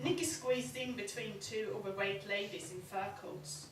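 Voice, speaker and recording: Very wide pitch swings run through this voice, with noticeable background noise behind it. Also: woman. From Sweden. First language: Swedish. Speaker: novelist; performance poet. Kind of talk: live short story reading. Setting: live venue.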